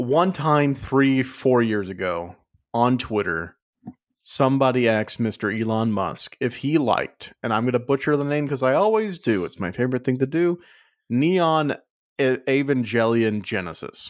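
With an American accent, a man talks at a moderate pace, his medium pitch carried by lively intonation. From Las Vegas, US. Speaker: podcast co-host. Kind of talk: casual chat. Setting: video call.

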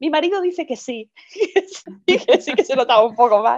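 The pitch swings very widely as this woman talks. Behind her, the background is quiet. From Madrid, Spain. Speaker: podcast guest sharing fertility story. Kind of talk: interview testimony. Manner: hesitant, repeats words.

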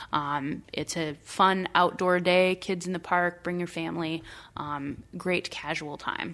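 A woman's fairly low voice with a Midwestern US accent, flat and monotone in intonation. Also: fairly slow pace. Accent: US Midwest. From rural Iowa. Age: 30s. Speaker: local party official. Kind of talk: interview. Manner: hesitant, many fillers.

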